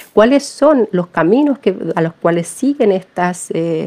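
A woman's medium-pitched voice with a dark, mellow tone at a fairly slow pace. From Chile. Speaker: philosopher and feminist activist. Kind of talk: interview. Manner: halting, many repetitions and fillers.

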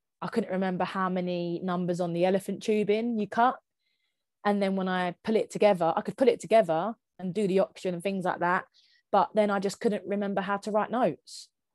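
A woman with a Kent accent speaks at a fairly quick pace, medium in pitch with fairly even intonation. The sound is dry and close with no echo, on a very clean recording with a silent background. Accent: Kent, southeast England. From Kent, southeast England. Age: 20s. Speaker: physiotherapist with long Covid. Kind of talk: testimony.

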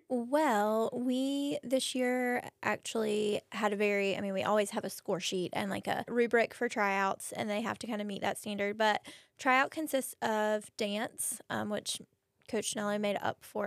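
The recording is very clean, with a silent background. A woman speaks fairly slowly in an ordinary speaking voice, fairly high in pitch with ordinary pitch variation. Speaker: cheerleading coach and math teacher. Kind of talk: casual interview chat.

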